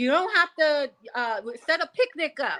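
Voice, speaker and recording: A woman is speaking. Her intonation is lively. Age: 40s. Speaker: podcast guest. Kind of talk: casual chat.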